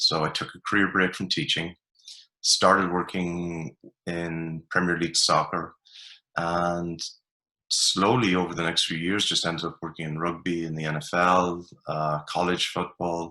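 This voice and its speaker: A man with an Ulster accent speaks at a very deep, low pitch in a bright, sharp tone. His delivery is monotone and flat at a moderate pace, on a very clean recording with a silent background. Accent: Irish (Ulster border). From Ireland, border region. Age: 40s. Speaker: performance coach. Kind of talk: podcast interview.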